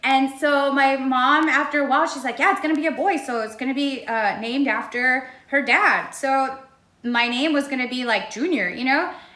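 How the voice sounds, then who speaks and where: A woman speaks at a moderate pace in a high, raised and projected voice, with audible room echo and noticeable background noise. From Texas border, Laredo. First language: Spanish. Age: 30s. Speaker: singer interviewed on radio. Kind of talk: interview.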